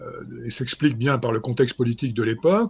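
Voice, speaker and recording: Over a quiet background, a man talks at a moderate pace and medium pitch. His voice is somewhat breathy, with lively intonation. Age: 60s. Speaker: historian. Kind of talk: interview. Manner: halting, many fillers.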